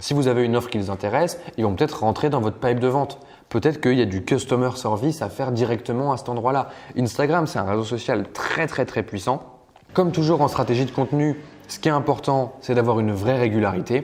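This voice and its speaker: The speech is very fast, with ordinary pitch variation. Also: man, medium pitch for a man. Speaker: online marketing trainer. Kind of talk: tutorial.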